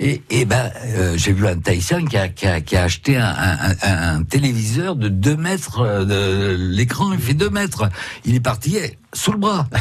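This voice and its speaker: A man talks at a fairly slow pace with a medium pitch. His loudness stays very even while his pitch swings very widely. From West Africa (born), schooled in Saint-Malo, France. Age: 70s. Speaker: painter, actor and author. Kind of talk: radio interview. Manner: halting.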